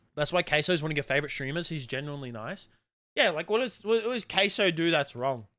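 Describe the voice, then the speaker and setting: Talking at a very fast pace, a man with an Australian accent has a fairly high pitch, lively intonation and a bright, sharp tone in a very clean recording with a silent background. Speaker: live streamer. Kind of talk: livestream commentary to chat. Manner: casual, animated ranting.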